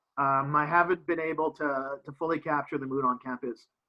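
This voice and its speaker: A man speaks with an American accent. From Canada. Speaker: professor. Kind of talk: interview. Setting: video call.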